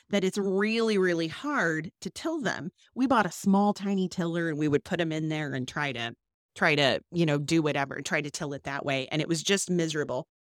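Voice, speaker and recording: A woman speaks with an ordinary speaking voice and lively intonation. The sound is dry and close, with no echo. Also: fairly low pitch for a woman, fairly quick pace. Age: 40s. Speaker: podcast co-host, farm wife. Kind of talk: casual chat.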